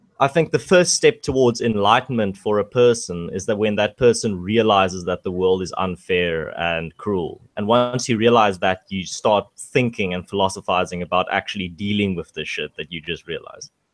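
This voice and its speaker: A man's fairly low voice in a South African accent, moderate pace, hardly any pauses, ordinary pitch variation, dry, close sound with no echo, and a very clean recording with a silent background. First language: Afrikaans. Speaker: livestream guest. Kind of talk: casual chat.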